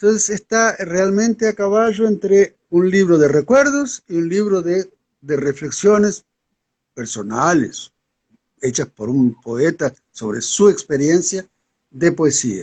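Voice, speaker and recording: This man has a high-pitched voice that swings very widely in pitch. He talks at a very slow pace, and the sound is dry and close with no echo. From Uruguay, Montevideo. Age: 70s. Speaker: poet. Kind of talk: interview.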